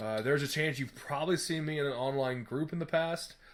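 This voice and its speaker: The pace is very fast. A man delivers it at a fairly high pitch. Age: 20s. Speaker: podcast host. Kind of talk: casual chat.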